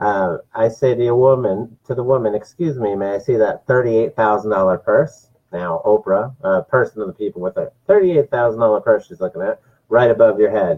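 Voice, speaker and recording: At a fairly quick pace, a man with an American accent and an ordinary speaking voice talks at a medium pitch with ordinary pitch variation. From New Jersey. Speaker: political talk show host. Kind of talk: political commentary monologue. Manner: frequent filler words.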